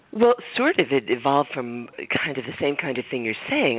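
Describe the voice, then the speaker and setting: Noticeable background noise sits behind a woman with a very deep, low pitch. She keeps a moderate pace and ordinary pitch variation. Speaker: author and advocate. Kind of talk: radio interview. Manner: hesitant, many fillers.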